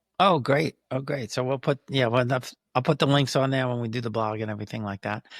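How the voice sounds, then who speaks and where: With an American accent and an ordinary speaking voice, a man of medium pitch talks at a fairly quick pace with ordinary pitch variation and hardly any pauses, in a dry, close sound with no echo. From United States. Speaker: podcast host. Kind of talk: interview conversation.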